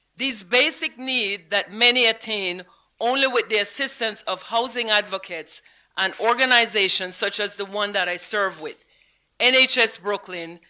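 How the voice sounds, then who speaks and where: A woman with a Belizean accent speaks in a fairly high, bright, sharp voice. Her pace is moderate and her pitch varies in an ordinary way. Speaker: honoree, housing advocate and teacher. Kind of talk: award acceptance speech.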